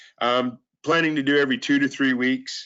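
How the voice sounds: Speaking at a moderate pace, a man has a fairly bright tone.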